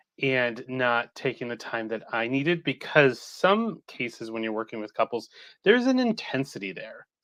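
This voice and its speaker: This is a plain, everyday voice at a fairly slow pace. Its pitch varies in an ordinary way over a quiet background. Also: man, big swings in loudness. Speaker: couples therapist and EMDR trainer. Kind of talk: interview.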